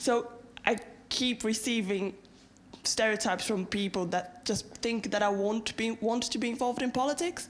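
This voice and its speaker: Through noticeable background noise, a woman with a Brazilian accent speaks at a fairly high pitch and very even loudness. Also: ordinary pitch variation, moderate pace. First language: Portuguese. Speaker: university student, audience member. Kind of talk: audience question at a lecture.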